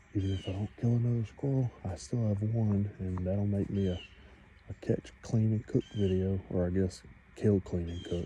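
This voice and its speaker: This man has a dark, mellow tone and a fairly low pitch. He keeps a moderate pace with fairly even intonation. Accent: Southern US. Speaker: outdoors hunting vlogger. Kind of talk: casual outdoor vlog narration. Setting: outdoors in the woods. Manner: loud.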